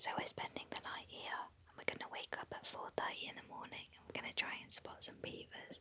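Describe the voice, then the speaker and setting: A woman whispers at a fairly quick pace with a British accent, her loudness swinging widely. Noticeable background noise runs underneath. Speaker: podcast co-host. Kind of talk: casual chat. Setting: wildlife hide at night. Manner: whispering.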